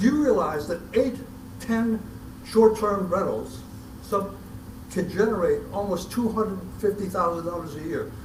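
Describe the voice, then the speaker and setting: Over noticeable background noise and audible room echo, a man speaks at a high pitch and a moderate pace with ordinary pitch variation. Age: 80s+. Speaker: concerned citizen at public meeting. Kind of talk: public comment. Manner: emotional; halting, repeats words.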